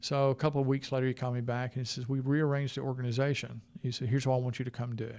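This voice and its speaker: A very fast delivery with hardly any pauses, in a Southern US accent with monotone, flat intonation, on a very clean recording with a silent background. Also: man, medium pitch for a man. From US South. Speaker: health IT executive. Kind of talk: interview conversation. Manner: hesitant, filler-heavy.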